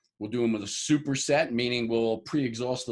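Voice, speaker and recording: Using an unremarkable speaking voice, a man talks at a fairly quick pace with medium pitch and fairly even intonation. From New York (Harlem). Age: 60s. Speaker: bodybuilder and fitness trainer. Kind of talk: interview.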